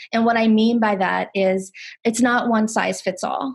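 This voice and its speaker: A woman's fairly high voice at a fairly quick pace, fairly even in intonation, against a quiet background. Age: 40s. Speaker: nurse and harm reduction speaker. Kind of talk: webinar Q&A answer. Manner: halting, many fillers.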